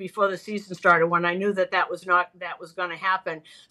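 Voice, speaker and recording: The woman's tone is bright and sharp. She talks with an American accent. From Boston. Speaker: baseball broadcaster. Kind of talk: casual chat. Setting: hotel room, remote call. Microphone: bad connection.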